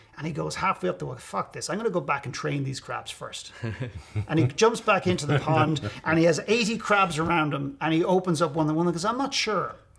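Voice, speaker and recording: Over noticeable background noise, a man talks at a fairly quick pace with a fairly high pitch and lively intonation. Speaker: motivational speaker and coach. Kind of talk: interview answer. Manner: blunt, profane, animated.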